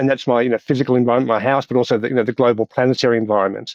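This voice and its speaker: A man speaks in an Australian accent. The sound is dry and close with no echo. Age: 60s. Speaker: doctor and professor. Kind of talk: podcast interview.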